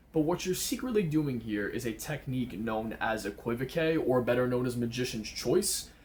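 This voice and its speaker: A man speaks with a somewhat breathy voice and very wide pitch swings. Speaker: magician teaching card tricks. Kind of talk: tutorial. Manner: casual.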